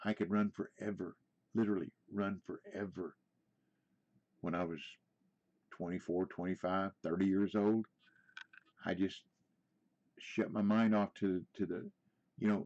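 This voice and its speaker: An American-accented man with a fairly low pitch speaks in a monotone, flat intonation at a moderate pace, with long, frequent pauses and a dry, close sound with no echo. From US Midwest, Indiana. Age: 70s. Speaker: gaming streamer. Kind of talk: casual chat. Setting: live stream.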